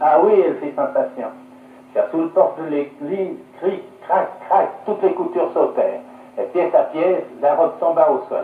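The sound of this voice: A man speaks at a moderate pace with a fairly high pitch. His pitch varies in an ordinary way.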